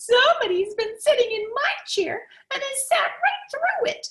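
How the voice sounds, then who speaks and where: Pitched extremely high, the put-on character voice keeps a moderate pace. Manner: plaintive, crying out.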